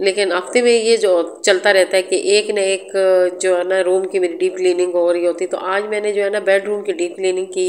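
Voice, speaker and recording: A woman speaks at medium pitch and a moderate pace in a flat, monotone delivery over noticeable background noise. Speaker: home and cooking vlogger. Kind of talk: vlog voice-over. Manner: halting with fillers.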